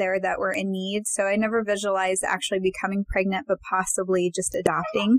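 Against noticeable background noise, a woman speaks at a medium pitch with monotone, flat intonation. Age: 40s. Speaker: licensed counselor and podcast co-host. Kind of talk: casual panel discussion.

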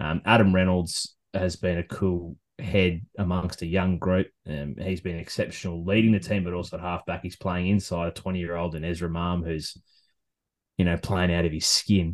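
In an Australian accent, the speaker talks at a moderate pace with fairly even intonation against a quiet background. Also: man, very deep, low pitch for a man. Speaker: golf podcast host. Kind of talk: casual chat. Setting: home studio in a shed.

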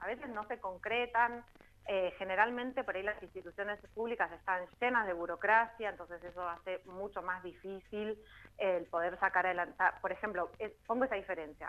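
Delivery is fairly brisk, and the pitch rises and falls in an ordinary way. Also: woman, medium pitch for a woman. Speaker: cultural manager and shop owner. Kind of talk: casual interview.

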